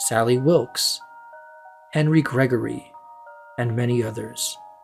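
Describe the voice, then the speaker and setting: The voice moves at a fairly slow pace with music in the background. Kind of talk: horror story narration.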